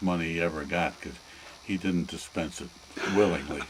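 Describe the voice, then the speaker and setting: A man's very deep, low voice at a moderate pace, with noticeable background noise. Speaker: grandfather interviewed by family. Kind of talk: family oral history interview.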